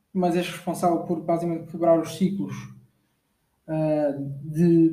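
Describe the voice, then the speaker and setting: Through audible room echo, a man with a European Portuguese accent speaks at a moderate pace, his high pitch paired with a dark, mellow tone. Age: 20s. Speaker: podcast host. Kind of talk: motivational monologue. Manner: halting, many fillers.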